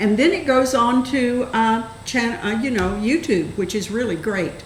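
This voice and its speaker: Fairly slow, fairly high-pitched speech from a woman, amid audible room echo and noticeable background noise. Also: lively intonation. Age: 80s+. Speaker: public access TV host. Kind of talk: casual interview.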